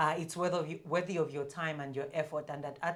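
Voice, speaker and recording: A woman speaks loudly at a very fast pace in a very deep, low pitch. Her intonation is flat and monotone. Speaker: commercial and marketing leader. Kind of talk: podcast interview.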